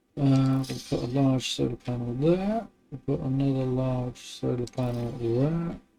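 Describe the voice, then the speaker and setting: Music plays in the background as a man speaks in a relaxed tone. His pitch is medium and his pace fairly slow. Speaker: gaming video creator. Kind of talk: gameplay commentary. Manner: monotone; relaxed, casual.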